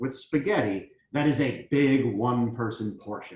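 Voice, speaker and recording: A man speaks at a fairly slow pace and medium pitch, his voice somewhat breathy. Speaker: cooking show chef. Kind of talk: cooking demonstration.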